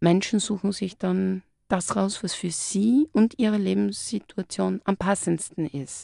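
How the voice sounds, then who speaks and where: Very slow pace in a dry, close sound with no echo and a quiet background. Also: woman. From Styria, Austria. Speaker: clinical psychologist. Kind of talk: live radio interview. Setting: radio studio.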